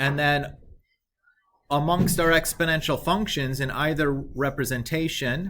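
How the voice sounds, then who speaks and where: With music in the background and audible room echo, a man speaks at a fairly slow pace with a fairly high pitch and fairly even intonation. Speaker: math teacher. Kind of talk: lecture.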